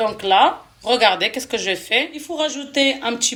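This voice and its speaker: A woman with a non-native accent and lively intonation at a fairly slow pace, over noticeable background noise. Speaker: cooking vlogger. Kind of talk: cooking tutorial. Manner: hesitant, many fillers.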